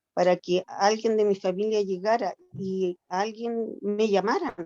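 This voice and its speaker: Fairly even intonation runs through the speech. It is a woman's voice at a medium pitch. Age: 60s. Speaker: older adult participant in self-care group. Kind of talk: group discussion, personal account. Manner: halting.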